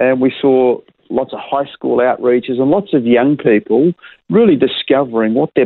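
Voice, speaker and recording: This man speaks with an Australian accent. His pitch is medium, with ordinary variation. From Perth, Western Australia. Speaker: pastor. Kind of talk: interview.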